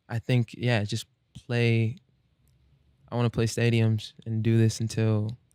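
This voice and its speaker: A man with an American accent, medium pitch and a dark, mellow tone, monotone and flat in intonation, with long, frequent pauses and a dry, close sound with no echo. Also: fairly slow pace. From Omaha, Nebraska, US Midwest. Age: 20s. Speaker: singer-songwriter. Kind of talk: interview. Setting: studio. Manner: halting.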